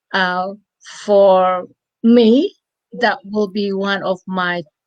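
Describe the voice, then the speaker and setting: In a dry, close sound with no echo, a woman with a non-native accent speaks at medium pitch and a very slow pace with fairly even intonation. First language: not English. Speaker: online business promoter. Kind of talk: live chat interview. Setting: live stream. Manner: halting.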